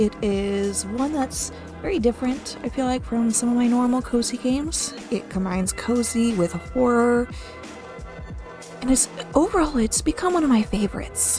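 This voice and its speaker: A soft-spoken woman over music in the background. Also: moderate pace. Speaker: gaming YouTuber. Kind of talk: soft-spoken gaming commentary for sleep.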